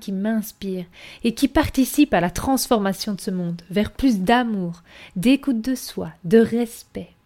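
On a very clean recording with a silent background, a woman speaks with a dark, mellow tone. Her pitch is fairly high, with ordinary variation. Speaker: podcast host and wellness coach. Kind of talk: monologue podcast intro.

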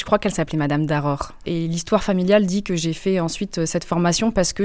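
Speech comes at a very fast pace with noticeable background noise. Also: woman. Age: 30s. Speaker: environmental consulting engineer. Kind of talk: interview. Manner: lively.

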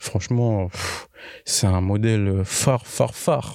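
A man's tone is dark and mellow, with ordinary pitch variation. The sound is dry and close with no echo, on a very clean recording with a silent background. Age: 20s. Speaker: accident survivor. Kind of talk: interview testimony. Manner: casual, halting with fillers.

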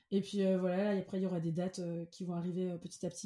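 This woman's voice is dark and mellow in tone. It sits at a medium pitch. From Cameroon. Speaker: singer-songwriter. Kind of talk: interview.

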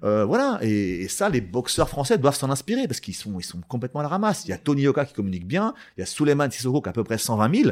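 On a very clean recording with a silent background, a man talks at a very fast pace with hardly any pauses. His medium-pitched voice makes very wide pitch swings. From Val-d'Oise, France. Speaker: former sports journalist, boxing entrepreneur. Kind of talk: interview conversation. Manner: halting, many repetitions.

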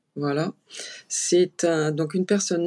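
A woman is speaking. She goes at a very slow pace. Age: 50s. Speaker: clinical psychologist and family caregiver. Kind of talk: interview testimony. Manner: halting.

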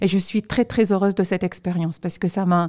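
A woman with a dark, mellow tone, medium pitch and fairly even intonation, in a dry, close sound with no echo. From Tunisia. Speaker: professor and startup founder. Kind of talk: interview. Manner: hesitant.

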